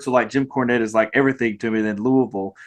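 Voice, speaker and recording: With a Mississippi accent, a man speaks with ordinary pitch variation. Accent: Mississippi Southern drawl. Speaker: podcast host. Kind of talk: casual interview chat. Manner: animated, halting with repeated false starts.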